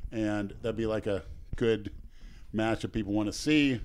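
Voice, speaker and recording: An American accent marks a man's unremarkable speaking voice, medium in pitch, at a fairly quick pace with fairly even intonation, in a very clean recording with a silent background. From Oakmont, US. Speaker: podcast co-host and video creator. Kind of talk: casual chat.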